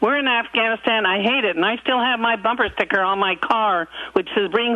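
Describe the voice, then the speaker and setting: This woman talks at a fairly high pitch, with noticeable background noise behind her. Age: 70s. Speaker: caller. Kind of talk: call-in talk. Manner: animated.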